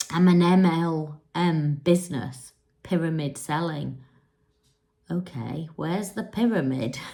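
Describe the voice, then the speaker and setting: A woman in an English accent, fairly low pitch, ordinary pitch variation, very slow pace. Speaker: spiritual coach. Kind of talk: casual monologue to camera. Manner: unscripted, conversational.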